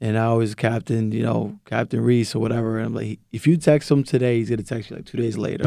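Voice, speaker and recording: A man speaks with a Boston accent. His tone is dark and mellow. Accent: Boston-area American English. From Lynn, Massachusetts. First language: Spanish. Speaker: high school basketball coach. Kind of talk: casual interview. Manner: laughs often.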